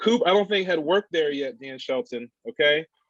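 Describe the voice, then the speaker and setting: The sound is dry and close with no echo. A man speaks fairly quickly at a fairly high pitch. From Delaware, US. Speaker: workshop facilitator. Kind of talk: workshop presentation.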